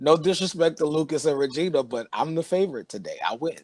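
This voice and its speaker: In an unremarkable speaking voice, a man talks at a fairly quick pace with fairly high pitch and lively intonation. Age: 50s. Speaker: show host. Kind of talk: casual chat.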